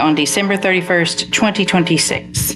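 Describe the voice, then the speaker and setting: A woman speaks with a Southern US accent, medium pitch and fairly even intonation. Noticeable background noise and audible room echo fill the recording. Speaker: vice mayor, council member. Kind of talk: council meeting.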